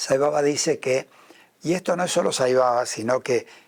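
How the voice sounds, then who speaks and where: In an Argentine accent, a man talks at a moderate pace. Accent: Argentine Spanish (Rioplatense). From Argentina. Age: 70s. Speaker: spiritual leader and businessman. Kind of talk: interview.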